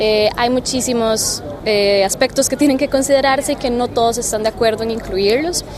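Against noticeable background noise, a woman with a high pitch talks at a moderate pace with fairly even intonation and hardly any pauses. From Costa Rica, San José. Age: 20s. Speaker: youth climate negotiator. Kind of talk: interview. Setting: conference venue.

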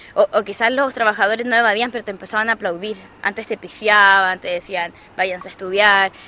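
This woman speaks at a fairly quick pace with a medium pitch. Her tone is bright and sharp, and her intonation stays fairly even. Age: 20s. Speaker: student leader. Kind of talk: interview.

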